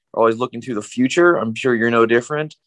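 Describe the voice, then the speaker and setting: An ordinary speaking voice from a man, medium in pitch with fairly even intonation, in a dry, close sound with no echo. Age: young. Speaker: podcast host, neurosurgeon. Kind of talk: interview.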